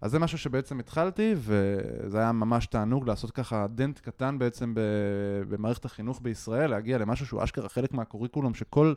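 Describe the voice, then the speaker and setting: A man's medium-pitched, ordinary speaking voice at a moderate pace, with ordinary pitch variation, in a dry, close sound with no echo and a very clean recording over a silent background. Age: 30s. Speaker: startup CTO and software developer. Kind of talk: casual interview.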